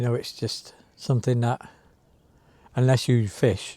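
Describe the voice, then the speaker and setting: With a West Country accent, a man speaks in a dark, mellow tone that is somewhat breathy. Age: 60s. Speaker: sea angler vlogger. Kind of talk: casual monologue to camera. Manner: halting.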